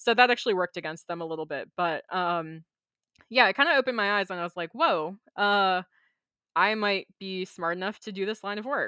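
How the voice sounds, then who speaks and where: A woman's ordinary speaking voice with an American accent, medium pitch, ordinary pitch variation and a fairly quick pace. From Maryland, US. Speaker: software engineer. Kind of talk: casual interview chat.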